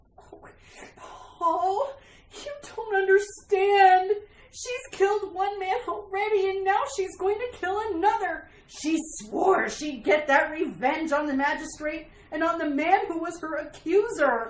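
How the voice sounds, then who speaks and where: Using a put-on character voice, the woman pitches her words extremely high. Her delivery is fairly slow. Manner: frantic, pleading.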